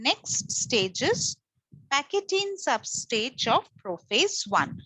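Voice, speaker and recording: In a dry, close sound with no echo, a woman speaks very slowly with a bright, sharp tone and very wide pitch swings. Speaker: teacher. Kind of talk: lecture.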